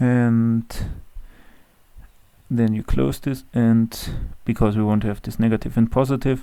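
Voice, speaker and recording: Fairly slow speech in a German accent, with long, frequent pauses. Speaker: Excel tutorial creator. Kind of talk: tutorial. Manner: hesitant with fillers.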